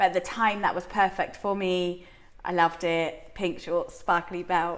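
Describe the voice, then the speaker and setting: With an English accent, a woman speaks at a moderate pace and a fairly low pitch. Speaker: strongwoman athlete. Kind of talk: interview. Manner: loud; animated.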